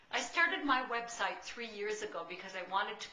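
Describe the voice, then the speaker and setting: A woman's voice at a moderate pace with ordinary pitch variation, audible room echo and noticeable background noise. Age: 60s. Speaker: artist and art teacher. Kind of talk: video testimonial.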